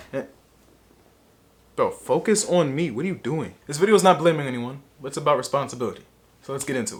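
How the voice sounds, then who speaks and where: Somewhat breathy, a man talks at a very fast pace with ordinary pitch variation, broken by long, frequent pauses. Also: fairly high pitch for a man, big swings in loudness. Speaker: video creator, freelance videographer. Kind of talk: casual vlog monologue. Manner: casual, many fillers.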